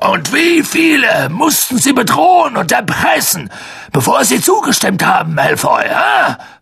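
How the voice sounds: A man does a put-on character voice at an extremely high pitch, bright and sharp in tone, with very wide pitch swings. It's gruff and growling, with vocal fry. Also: fairly slow pace, faint background noise.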